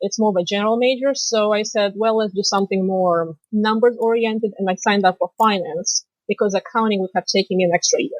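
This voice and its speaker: With a strong Russian accent, a woman speaks fairly quickly at a fairly high pitch with ordinary pitch variation, in a dry, close sound with no echo. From Moldova. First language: Romanian. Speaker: financial planner and finance professor. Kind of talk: podcast interview.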